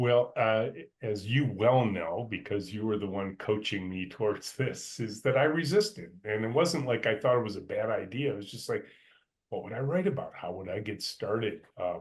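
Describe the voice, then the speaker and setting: The speaker is a man with an American accent and a medium pitch. His voice is somewhat breathy, with lively intonation. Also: moderate pace. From US Midwest, Michigan (north of Detroit). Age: 60s. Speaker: company CEO. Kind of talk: interview. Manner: hesitant, many fillers.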